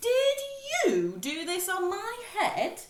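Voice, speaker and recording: This put-on character voice sits at an extremely high pitch. A slight echo can be heard. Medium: read story.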